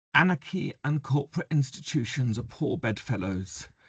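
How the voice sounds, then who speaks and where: A man with an English accent speaks at a moderate pace in a somewhat breathy voice over a quiet background. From England. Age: 60s. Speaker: mental health activist and memoir author. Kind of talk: reading a prepared talk. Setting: video call webinar.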